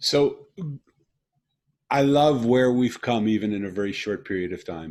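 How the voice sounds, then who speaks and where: A man speaks in a plain, everyday voice at a moderate pace, with ordinary pitch variation. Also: medium pitch for a man. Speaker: podcast host. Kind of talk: podcast interview talk.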